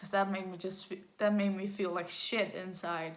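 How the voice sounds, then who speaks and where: A woman's voice at a medium pitch, with audible room echo. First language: Danish. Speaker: vlogger. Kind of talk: personal story vlog. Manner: halting.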